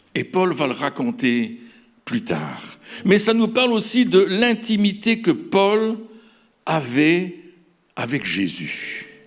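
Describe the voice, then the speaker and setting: At a very slow pace with long, frequent pauses, a man talks in a high pitch that makes very wide swings. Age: 70s. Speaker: pastor. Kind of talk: sermon. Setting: stage with audience. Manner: halting.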